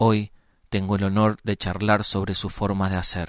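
With a Uruguayan accent, a man speaks fairly slowly in a fairly low pitch, captured in a very clean recording with a silent background and a dry, close sound with no echo. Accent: Rioplatense Spanish (Uruguayan). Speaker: podcast host. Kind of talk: interview; scripted introduction.

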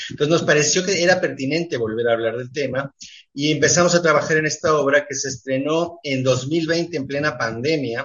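Here is a man with a plain, everyday voice. He talks at a fairly quick pace in a fairly high pitch, with ordinary pitch variation. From Mexico (left Uruguay as a child). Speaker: theatre director. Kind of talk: radio interview. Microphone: connection dropped out.

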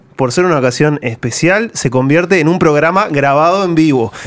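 Using an ordinary speaking voice, a man talks at a moderate pace with lively intonation and a fairly high pitch. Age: 20s. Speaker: radio host. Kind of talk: casual radio panel chat. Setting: radio studio, recorded live.

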